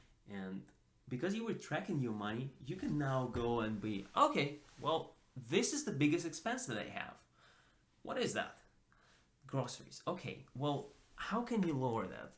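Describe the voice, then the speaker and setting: A man's somewhat breathy, fairly high-pitched voice at a moderate pace, with very wide pitch swings and long, frequent pauses. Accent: non-native. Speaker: personal finance YouTuber. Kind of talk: casual talk to camera.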